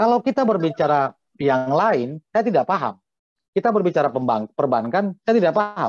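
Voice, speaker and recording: High-pitched man with very wide pitch swings and very even loudness at a moderate pace, dry sound with no echo, quiet background. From North Sumatra, Simalungun (Pematang Siantar); North Sumatra. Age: 40s. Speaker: hotel manager; guest. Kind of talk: interview. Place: home room. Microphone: video call.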